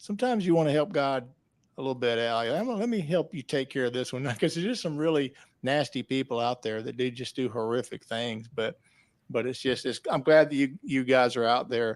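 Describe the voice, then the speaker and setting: This very clean recording has a silent background and a man speaking with a Southern US accent. He talks at a fairly quick pace, with medium pitch and ordinary pitch variation. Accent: Southern twang. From US South. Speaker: podcast host. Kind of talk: interview. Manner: halting.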